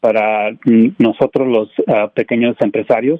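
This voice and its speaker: A man's voice sits at a medium pitch, its pitch moving in an ordinary way. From Mexico. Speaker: IT business owner. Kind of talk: radio interview. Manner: halting.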